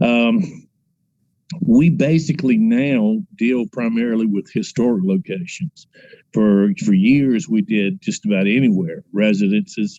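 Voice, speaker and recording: A man's medium-pitched voice with a dark, mellow tone, lively intonation and a fairly slow pace, in a dry, close sound with no echo. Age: 60s. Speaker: paranormal investigator. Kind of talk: casual interview.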